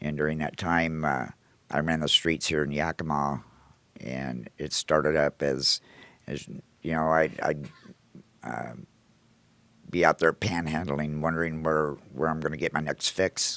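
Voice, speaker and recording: In a dry, close sound with no echo, a man with a very deep, low pitch speaks at a fairly slow pace with fairly even intonation and long, frequent pauses. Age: 60s. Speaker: recovery house manager and Marine veteran. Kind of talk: personal testimony. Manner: hesitant, many fillers.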